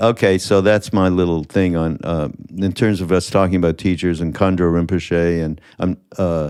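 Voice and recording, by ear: A man with a low pitch talks at a moderate pace, his intonation fairly even. His tone is clear, smooth and slightly mellow, on a very clean recording with a silent background.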